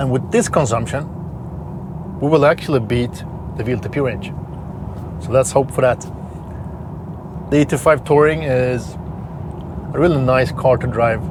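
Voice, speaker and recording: A man with a Swedish accent speaks at a medium pitch with ordinary pitch variation, taking long, frequent pauses over noticeable background noise. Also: moderate pace. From Sweden. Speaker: car reviewer. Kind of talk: vlog-style review while driving.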